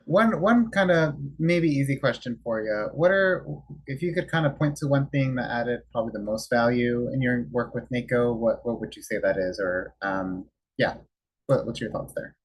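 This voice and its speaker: A man's somewhat breathy voice at a medium pitch and moderate pace, with lively intonation and big swings in loudness. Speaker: webinar moderator. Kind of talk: panel moderation.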